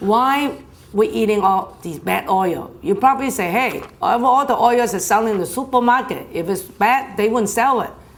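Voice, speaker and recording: A woman's fairly high voice, lively in intonation at a moderate pace, with audible room echo and noticeable background noise. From China. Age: 60s. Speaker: health speaker. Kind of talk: health talk. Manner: conversational.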